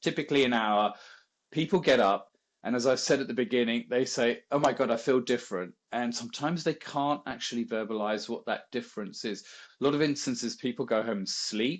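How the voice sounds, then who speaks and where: Over a quiet background, the speech moves at a fairly quick pace with ordinary pitch variation. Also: man, medium pitch for a man. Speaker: meditation teacher. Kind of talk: interview. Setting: podcast. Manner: fast.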